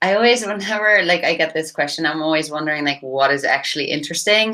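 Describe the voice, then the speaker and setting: A woman's fairly low, bright, sharp voice on a very clean recording with a silent background. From Netherlands. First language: Dutch. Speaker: startup founder and CEO. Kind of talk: podcast interview.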